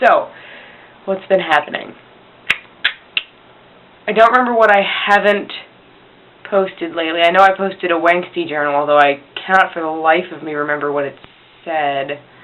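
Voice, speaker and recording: Amid noticeable background noise, a woman with a fairly low voice speaks at a moderate pace with ordinary pitch variation, long and frequent pauses, and big swings in loudness. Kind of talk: casual talk to camera. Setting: poor home recording. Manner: rambling.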